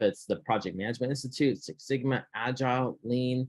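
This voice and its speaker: This man has a medium pitch. The sound is dry and close, with no echo. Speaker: process improvement presenter. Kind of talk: workplace presentation. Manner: fast; halting, many repetitions.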